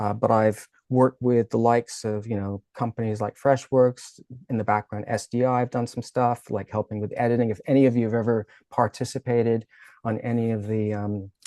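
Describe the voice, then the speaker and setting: A man with a dark, mellow tone speaks at a medium pitch and fairly quick pace, his intonation monotone and flat. The sound is dry and close with no echo over a quiet background. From Caribbean. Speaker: filmmaker and presenter. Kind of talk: online presentation. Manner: casual, with fillers and repetitions.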